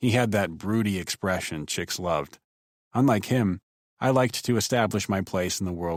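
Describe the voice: Ordinary pitch variation in plain reading aloud, quiet background behind it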